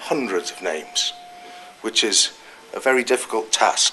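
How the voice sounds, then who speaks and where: Here a man talks with a North East England accent at a moderate pace. Background noise is noticeable throughout. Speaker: political activist speaker. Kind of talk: speech at political meeting.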